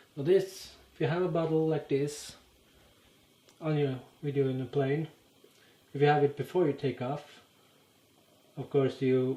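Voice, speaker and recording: With a Norwegian accent, a man talks at a fairly slow pace with long, frequent pauses, a fairly high pitch and fairly even intonation. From Norway. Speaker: YouTuber. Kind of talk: casual explainer monologue. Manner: halting, many fillers.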